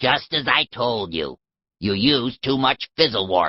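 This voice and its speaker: Growling through a put-on character voice, the speaker keeps a moderate pace. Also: man, medium pitch for a man. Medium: audio drama. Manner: dry, sardonic.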